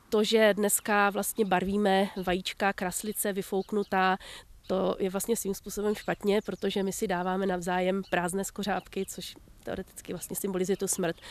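A woman speaks in a monotone, with flat intonation and a dry sound with no echo. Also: moderate pace. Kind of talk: interview answer. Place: garden. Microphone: handheld.

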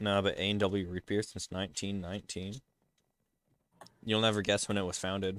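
Monotone, flat delivery at a fairly quick pace, with long, frequent pauses and a dry, close sound with no echo. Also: man, fairly low pitch for a man. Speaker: gaming streamer. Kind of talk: casual chat while gaming. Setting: voice call on Discord.

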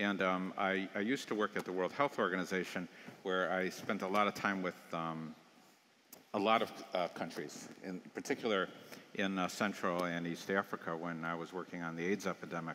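A man talks at a moderate pace with a very deep, low pitch and a bright, sharp tone. His intonation stays fairly even over light background noise. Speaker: public health founder of violence prevention group. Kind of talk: panel discussion. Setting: stage with audience. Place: stage. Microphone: headset.

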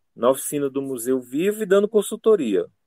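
This man has a dark, mellow tone and very wide pitch swings, recorded very cleanly against a silent background. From Brazil, Ceará (Cascavel). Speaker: ceramics teacher. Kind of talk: interview. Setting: radio studio. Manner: halting.

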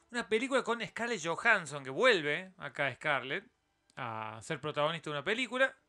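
A man speaks at a moderate pace with a high pitch and a bright, sharp tone. His pitch swings very widely. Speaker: YouTube news commentator. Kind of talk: solo news roundup commentary. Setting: live stream with chat.

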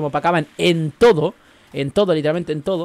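A man with a Chilean accent, talking at a very fast pace, with ordinary pitch variation. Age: 20s. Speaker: gaming streamer. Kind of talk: casual chat. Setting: live stream.

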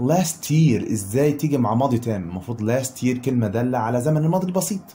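A man with an Egyptian accent speaks at a fairly quick pace with lively intonation, in audible room echo. His tone is dark and mellow and somewhat breathy. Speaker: English teacher. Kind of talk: lecture.

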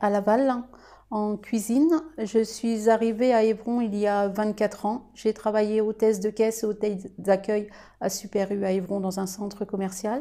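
Slowish and flat, a woman speaks with a fairly high pitch and monotone intonation. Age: 40s. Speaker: restaurant owner. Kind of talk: interview testimony. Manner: formal.

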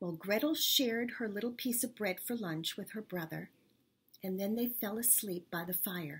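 At a moderate pace, the voice comes across as somewhat breathy. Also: woman. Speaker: storyteller. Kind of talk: storytelling for children. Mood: warm, expressive. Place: kitchen. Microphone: webcam.

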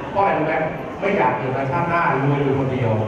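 A man is speaking amid noticeable background noise. The room adds a strong echo. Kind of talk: sermon-like speech to an audience. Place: church.

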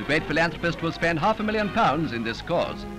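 Clear music plays behind a man speaking at a very fast pace. His fairly high voice swings very widely in pitch. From England. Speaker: newsreel narrator. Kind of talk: newsreel narration. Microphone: old recording.

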